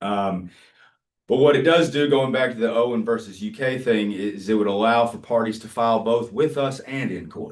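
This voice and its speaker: A man's voice at medium pitch, with audible room echo. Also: ordinary pitch variation. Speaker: agency staff attorney. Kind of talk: formal meeting briefing. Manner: fast; halting, many fillers.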